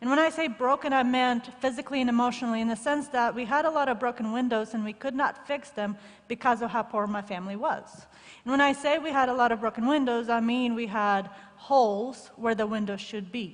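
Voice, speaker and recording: Her pitch is high for a woman. This woman speaks at a fairly quick pace. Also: ordinary pitch variation. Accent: Russian. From former Soviet Union. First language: Russian. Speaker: shoebox gift recipient speaker. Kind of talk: testimony.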